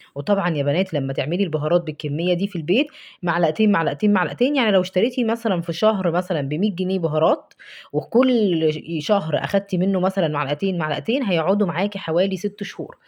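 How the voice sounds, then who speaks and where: A woman with an Egyptian accent speaks fairly quickly with hardly any pauses, her medium-pitched voice lively in intonation. The background is quiet. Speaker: cooking vlogger. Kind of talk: cooking tutorial. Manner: warm, chatty.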